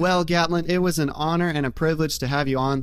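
An ordinary speaking voice with an American accent, fairly quick pace and fairly even intonation. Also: man. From Nebraska. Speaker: podcast host and farmer. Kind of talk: casual podcast chat.

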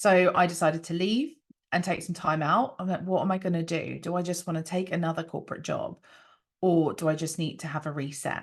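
Against a quiet background, a woman speaks in a normal speaking voice. Her pitch is fairly low and her intonation fairly even. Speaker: breathwork practitioner. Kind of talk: casual interview chat.

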